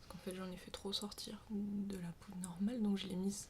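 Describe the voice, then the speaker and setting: Soft-spoken and monotone, a woman at medium pitch speaks with flat intonation over noticeable background noise. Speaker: ASMR creator, sophrology practitioner. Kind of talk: ASMR makeup show-and-tell.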